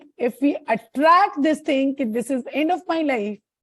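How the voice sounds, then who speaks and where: Her voice is high, and her intonation is lively as this woman speaks fairly slowly. The sound is dry and close with no echo. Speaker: tarot reader. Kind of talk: tarot consultation.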